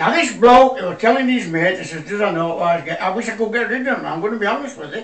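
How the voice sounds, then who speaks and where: This man's voice is high, with lively intonation, a very fast pace and hardly any pauses. Noticeable background noise and audible room echo are present. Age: 80s+. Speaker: comedian. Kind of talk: stand-up.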